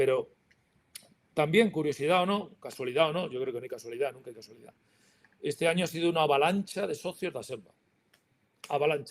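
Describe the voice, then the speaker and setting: The speaker goes at a very fast pace yet leaves long, frequent pauses, with big swings in loudness and ordinary pitch variation. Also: man, fairly high pitch for a man. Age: 60s. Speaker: industry association president. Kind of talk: panel talk.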